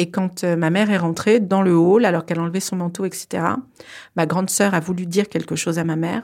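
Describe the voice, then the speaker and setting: The woman's voice is fairly low and her intonation flat and monotone. She talks at a fairly quick pace. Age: 40s. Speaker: incest survivor. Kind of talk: testimony. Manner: hesitant with fillers.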